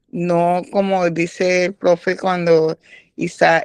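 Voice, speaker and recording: A woman's fairly low, monotone voice, flat in intonation, at a very slow pace over a quiet background. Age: 60s. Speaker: participant in bible health class. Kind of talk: group discussion. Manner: halting.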